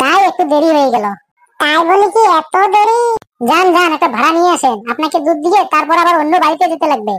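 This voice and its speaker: A squeaky, cartoonish character voice at an extremely high pitch and a fairly quick pace. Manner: flustered, stammering.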